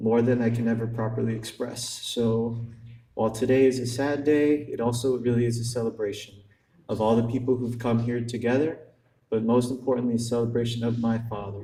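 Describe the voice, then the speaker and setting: This man has an American accent and a medium pitch, speaking at a fairly quick pace. His intonation is monotone and flat, and room echo is audible. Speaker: son giving a eulogy. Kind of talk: eulogy. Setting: funeral ceremony. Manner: halting.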